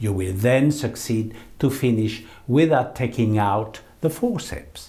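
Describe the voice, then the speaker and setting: Through audible room echo, a man with a medium-pitched, somewhat breathy voice and a dark, mellow tone speaks at a fairly slow pace. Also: ordinary pitch variation. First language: French. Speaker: eye surgeon. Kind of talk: lecture. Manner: formal.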